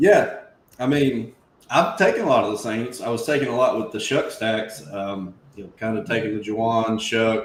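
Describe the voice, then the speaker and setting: With ordinary pitch variation, a man's voice rings out in audible room echo. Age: 30s. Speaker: fantasy football stream host. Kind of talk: casual chat. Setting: live stream.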